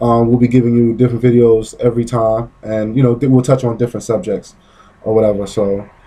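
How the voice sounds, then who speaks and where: A man's very fast, monotone delivery with flat intonation at a medium pitch. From Brooklyn, New York. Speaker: vlogger. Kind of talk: casual chat. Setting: outdoors on a porch.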